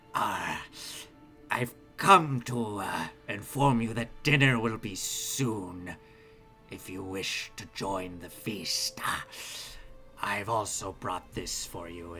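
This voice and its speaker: A man puts on a character voice at a very slow pace, his pitch fairly low. Clear music plays in the background. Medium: actual play. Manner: hesitant, formal, halting.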